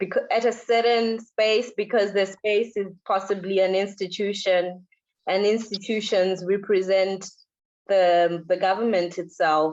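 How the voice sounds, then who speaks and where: In a Zimbabwean accent, a woman speaks at a medium pitch and a fairly slow pace, with fairly even intonation and very even loudness. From Zimbabwe, Harare. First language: Shona. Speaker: visual artist. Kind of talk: interview in a lecture event. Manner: halting, repeats words.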